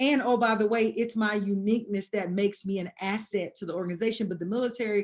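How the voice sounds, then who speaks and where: With a Southern US accent, a woman speaks at a medium pitch. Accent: Southern drawl. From US South, Atlanta, Georgia. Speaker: combat veteran. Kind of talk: podcast interview. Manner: halting, repeats words.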